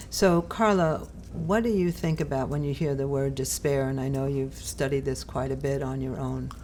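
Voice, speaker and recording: A woman with a New York accent speaks at a moderate pace, with audible room echo. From New York City, Brooklyn. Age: 70s. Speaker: podcast host. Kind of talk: casual chat.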